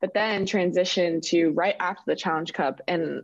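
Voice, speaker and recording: A woman with an American accent speaks in an ordinary speaking voice at a fairly low pitch. Her pace is moderate, her intonation fairly even, and the background quiet. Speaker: professional soccer player. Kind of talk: interview.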